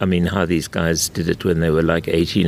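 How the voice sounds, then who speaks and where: Amid noticeable background noise, a man speaks at a very deep, low pitch. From South Africa, Western Cape winelands (Durbanville). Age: 70s. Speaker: wine and food commentator. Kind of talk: interview conversation. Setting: outdoors on a wine estate.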